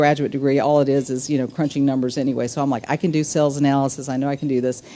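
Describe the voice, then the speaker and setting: At a very fast pace, a woman with a Southern accent speaks in a very deep, low voice. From US South, small town. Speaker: business executive, keynote speaker. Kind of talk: luncheon speech.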